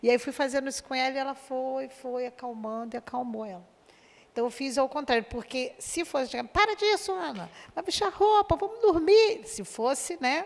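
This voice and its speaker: The pitch swings very widely. Delivery moves at a moderate pace. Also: woman, high pitch for a woman. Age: 60s. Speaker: course student. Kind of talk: testimony.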